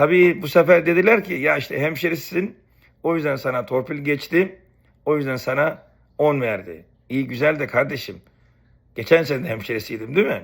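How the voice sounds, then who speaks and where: A man with a normal speaking voice talks at a moderate pace, fairly high in pitch with lively intonation. The recording is very clean and the background silent. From Istanbul, Turkey (Beykoz), family from Rize. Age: 50s. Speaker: YouTuber, former student. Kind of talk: personal storytelling monologue.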